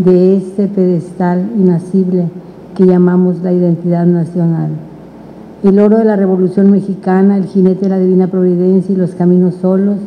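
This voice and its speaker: Against light background noise, a woman speaks at a moderate pace with monotone, flat intonation. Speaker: panelist. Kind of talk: reading a prepared text aloud. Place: hall. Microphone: handheld.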